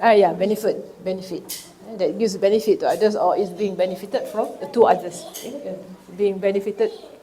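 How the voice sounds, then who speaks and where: In a room with audible echo, a woman talks fairly quickly at a medium pitch with ordinary pitch variation. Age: 60s. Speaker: teacher. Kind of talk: lecture. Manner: halting.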